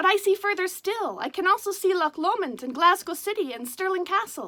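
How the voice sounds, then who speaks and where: In a put-on character voice with lively intonation, a woman talks at a fairly quick pace and an extremely high pitch. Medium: read story. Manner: calm, modest, understated.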